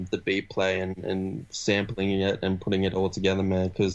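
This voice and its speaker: Over a quiet background, a man talks with an Australian accent. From Sydney, Australia. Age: 20s. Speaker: rapper. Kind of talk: podcast interview.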